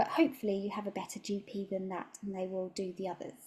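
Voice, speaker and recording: A woman speaks with a British accent and a dark, mellow tone. Her voice is somewhat breathy. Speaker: nutritional therapist. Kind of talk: talk.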